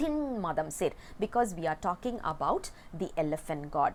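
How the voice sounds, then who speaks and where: A woman speaks with a Tamil accent at a medium pitch. Her pitch swings very widely. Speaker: religious text teacher. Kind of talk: lecture. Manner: halting, with fillers.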